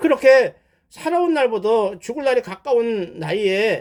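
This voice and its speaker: The man's voice is extremely high in pitch and swings very widely up and down. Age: 70s. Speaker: pastor. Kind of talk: sermon-style testimony. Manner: conversational, halting with self-corrections.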